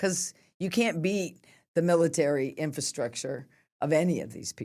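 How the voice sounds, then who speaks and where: A woman's very deep, low voice with vocal fry, very wide pitch swings and a moderate pace. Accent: General American. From US West, Sacramento, California. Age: 60s. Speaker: nonprofit executive director. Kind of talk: interview conversation.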